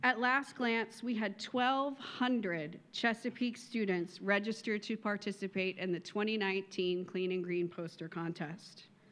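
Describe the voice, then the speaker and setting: This is a plain, everyday voice, a woman's at a fairly high pitch. Her pitch variation is ordinary. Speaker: volunteer council chair. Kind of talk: speech. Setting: luncheon stage with audience. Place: hall. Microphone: podium.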